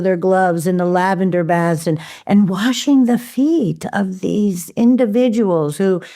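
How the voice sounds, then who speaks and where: A woman speaks in a dark, mellow tone at a medium pitch with ordinary variation. Her pace is fairly slow, and the recording is very clean with a silent background. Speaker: herbalist. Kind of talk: interview. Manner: animated.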